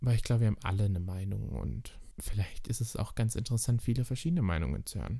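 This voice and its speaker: Very fast and lively, a man with a fairly low pitch speaks in a dark, mellow tone that is somewhat breathy. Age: 20s. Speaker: drag queen and podcast host. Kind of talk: casual solo podcast monologue.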